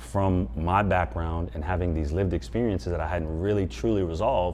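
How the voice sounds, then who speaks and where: With an American accent and lively intonation, a man talks at a fairly quick pace in a very deep, low pitch, with audible room echo. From US West Coast. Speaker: former NFL player and mental performance coach. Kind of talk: interview.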